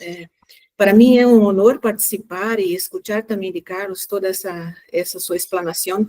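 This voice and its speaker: This woman speaks in a Brazilian accent. Her tone is dark and mellow, with fairly even intonation. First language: Portuguese (speaking Spanish). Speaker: human rights collaborator. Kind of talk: panel discussion comment.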